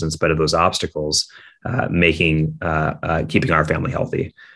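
With an American accent, a man talks in a very deep, low pitch and a bright, sharp tone. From US Midwest, Minneapolis, Minnesota. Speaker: startup founder and CEO. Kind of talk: interview.

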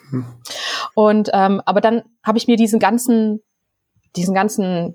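Pitch varies in an ordinary way. The recording is very clean, and the background is silent. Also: woman. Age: 30s. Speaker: novelist. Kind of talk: casual interview.

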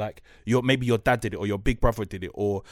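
The speaker has a South London accent and a very fast pace. The recording is very clean, with a silent background. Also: man. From South London, New Cross. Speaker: broadcaster and author. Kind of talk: casual chat.

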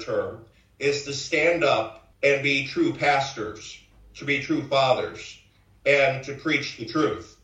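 A man speaks very slowly, with a Chicago accent and a fairly high pitch. His pitch varies in an ordinary way, and the room echo is audible. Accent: Chicago American. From US Midwest, Chicago south side. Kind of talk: interview.

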